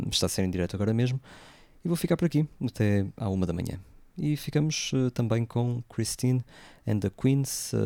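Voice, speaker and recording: A man's medium-pitched, dark and mellow voice at a moderate pace with lively intonation and long, frequent pauses, dry and close with no echo. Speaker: radio host. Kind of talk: radio music show presenting. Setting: live radio broadcast away from home. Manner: hesitant, many fillers. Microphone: different equipment, voice sounds distorted.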